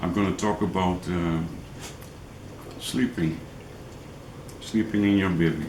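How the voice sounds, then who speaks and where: Long, frequent pauses amid audible room echo. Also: man, very deep, low pitch for a man, fairly even intonation, fairly slow pace. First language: not English. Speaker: angling vlogger. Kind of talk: tutorial. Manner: halting, many fillers.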